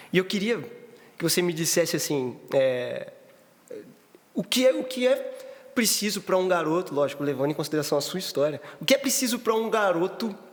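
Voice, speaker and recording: A high-pitched man's voice with very wide pitch swings, a moderate pace and long, frequent pauses, over noticeable background noise. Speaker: podcast host. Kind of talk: casual chat.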